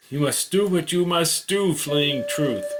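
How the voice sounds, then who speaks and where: A man's high-pitched, very slow speech over background music. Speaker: author reading his own story. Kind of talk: story narration.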